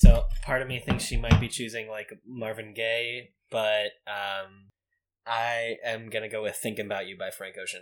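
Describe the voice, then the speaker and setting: At a moderate pace, a man speaks in a flat monotone at medium pitch, with big swings in loudness. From Boston. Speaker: guest, guest's fiance. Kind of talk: casual chat.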